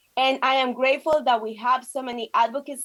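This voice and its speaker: A woman with a Spanish accent speaks at a fairly quick pace in a high pitch. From Colombia. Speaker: state legislator. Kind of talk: prepared speech at virtual press conference. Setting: video call.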